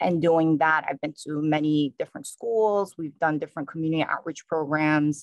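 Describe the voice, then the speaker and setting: A woman with a strong New York accent and a very deep, low pitch, at a moderate pace with hardly any pauses and fairly even intonation, in a dry, close sound with no echo. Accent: New York, still strong. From New York City. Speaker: state police trooper. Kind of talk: conference talk.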